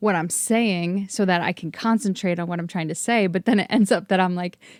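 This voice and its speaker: The recording is dry and close with no echo. A woman speaks quickly enough, at a fairly quick pace, with lively intonation. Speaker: podcast host and brain injury survivor. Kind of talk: casual chat. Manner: loud.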